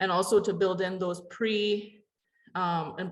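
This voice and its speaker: A woman speaks with a Canadian accent. Her medium-pitched voice is somewhat breathy. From Canada, Ojibwe reserve community. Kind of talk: panel discussion. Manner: halting, many fillers.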